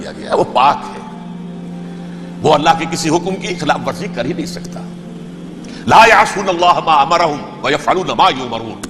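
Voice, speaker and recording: Over music in the background, a man with a high pitch makes very wide pitch swings. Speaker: Islamic scholar giving a religious lecture. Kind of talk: Islamic sermon (bayan). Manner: emotional, earnest, explanatory.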